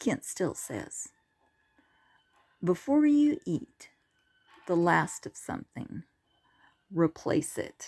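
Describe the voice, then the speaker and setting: The sound is dry and close with no echo. Delivery is very slow, with long, frequent pauses and very wide pitch swings. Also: woman, fairly low pitch for a woman. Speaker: humorist telling personal stories. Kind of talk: comic storytelling monologue.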